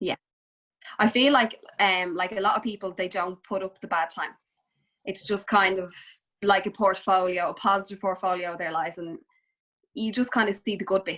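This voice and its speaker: At a moderate pace, a woman with a medium-pitched, bright and sharp voice speaks with fairly even intonation and long, frequent pauses. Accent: Dublin. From Dublin, Ireland. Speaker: Instagram influencer and mother. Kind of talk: casual chat.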